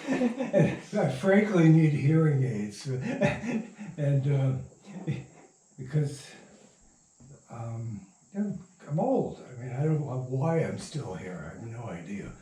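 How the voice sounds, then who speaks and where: At a very slow pace with long, frequent pauses, a man speaks at a fairly high pitch with very wide pitch swings, and audible room echo surrounds him. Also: big swings in loudness. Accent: American. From Michigan. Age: 80s+. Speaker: radio playwright and producer. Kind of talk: interview. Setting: at his home.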